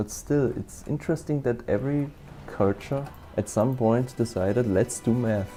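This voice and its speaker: With a German accent, a man talks using ordinary pitch variation. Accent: German-speaking accent in English. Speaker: VTuber gaming streamer. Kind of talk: casual chat. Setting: live stream. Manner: fast, rambling filler-heavy talk.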